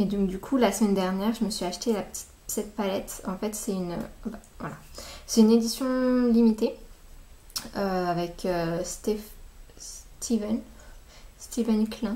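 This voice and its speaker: At a fairly slow pace with long, frequent pauses, the voice sounds somewhat breathy, dark and mellow in tone, with fairly even intonation. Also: woman. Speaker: beauty vlogger. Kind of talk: casual vlog. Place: home room. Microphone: webcam.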